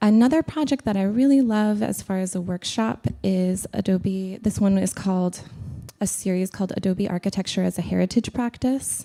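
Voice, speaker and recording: A woman speaks at a moderate pace in a medium pitch with a dark, mellow tone. The recording is very clean, with a silent background. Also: ordinary pitch variation. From New Mexico, Albuquerque. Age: 30s. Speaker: artist. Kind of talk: lecture. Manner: hesitant, many fillers.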